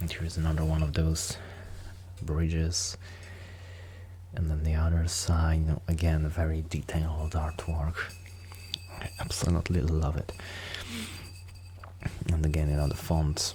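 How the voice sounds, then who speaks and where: A man's very deep, low voice, monotone and flat, with long, frequent pauses and noticeable background noise. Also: moderate pace. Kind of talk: ASMR soft-spoken beer collection show-and-tell to camera. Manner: soft-spoken, hesitant with frequent fillers.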